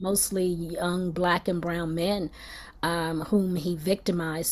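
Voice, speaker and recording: In an American accent, a woman speaks at a fairly slow pace with fairly even intonation. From Philadelphia. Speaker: actress. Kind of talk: interview answer. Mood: earnest, reflective.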